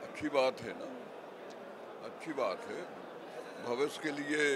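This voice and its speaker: Noticeable background noise surrounds a man's voice, though the sound itself is dry with no echo. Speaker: politician. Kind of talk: interview answer. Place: hall. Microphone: handheld.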